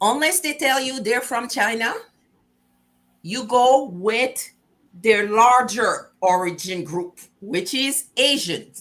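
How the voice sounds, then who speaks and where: With lively intonation and long, frequent pauses, the speaker talks at a very slow pace in a Quebec accent. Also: woman, high pitch for a woman. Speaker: talk show host. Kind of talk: casual interview chat.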